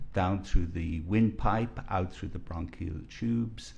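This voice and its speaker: A man with a very deep, low, somewhat breathy voice speaks at a fairly slow pace with ordinary pitch variation. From Ireland, rural County Kilkenny. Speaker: physician, expert witness. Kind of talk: courtroom testimony. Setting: courtroom.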